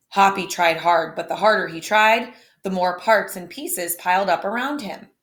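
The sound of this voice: A woman's medium-pitched voice with a fairly bright tone and ordinary pitch variation. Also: moderate pace.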